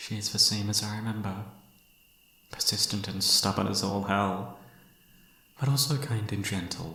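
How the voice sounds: A man's put-on character voice, bright and sharp with a slightly husky edge, at a fairly slow pace with long, frequent pauses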